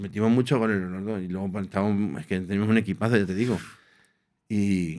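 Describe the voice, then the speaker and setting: A man with a normal speaking voice, fairly low in pitch, with fairly even intonation, at a moderate pace, in a very clean recording with a silent background. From Spain, Aranjuez (Madrid region). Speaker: former professional footballer. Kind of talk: casual interview.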